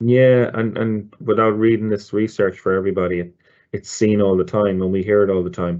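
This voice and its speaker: Fairly quick in pace, a man with an Irish accent speaks at a fairly low pitch. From Ireland. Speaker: loyalty marketing director. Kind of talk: webinar presentation. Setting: online webinar. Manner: hesitant, many fillers and repeats.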